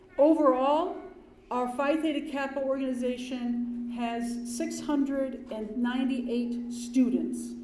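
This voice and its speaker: A woman speaks with a high pitch. Room echo is audible. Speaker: dean of students. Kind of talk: ceremony speech. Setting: ceremony hall with audience. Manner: loud.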